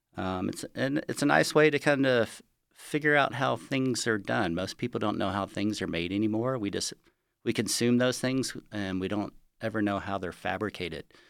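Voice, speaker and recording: A plain, everyday voice at a moderate pace, with ordinary pitch variation, recorded very cleanly against a silent background. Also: man, fairly low pitch for a man. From Texas, Galveston. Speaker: sculptor and arts center director. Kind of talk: interview. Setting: studio.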